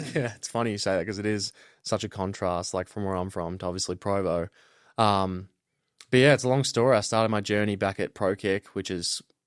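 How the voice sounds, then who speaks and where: Fairly low male voice in an Australian accent with fairly even intonation, dry and close with no echo, on a very clean recording with a silent background. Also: fairly quick pace. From Australia, Melbourne. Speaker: college football punter. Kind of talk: casual interview.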